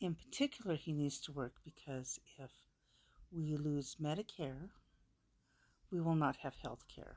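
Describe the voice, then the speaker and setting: With an American accent, a woman speaks at a very deep, low pitch. Her pace is fairly slow, and her pitch variation is ordinary. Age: 60s. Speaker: vlogger. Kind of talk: personal vlog monologue. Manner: halting, emotional.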